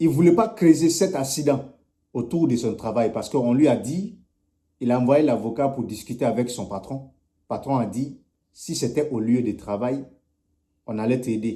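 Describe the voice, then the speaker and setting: A man with a dark, mellow tone speaks at a moderate pace, with big swings in loudness and long, frequent pauses. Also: medium pitch for a man, ordinary pitch variation. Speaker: community activist making appeal videos. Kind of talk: charity appeal.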